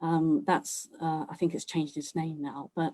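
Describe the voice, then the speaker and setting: Her tone dark and mellow, a woman speaks at a fairly low pitch. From Cambridge, England. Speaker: author and speaker, daughter of early Bangladeshi settlers. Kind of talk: online history talk.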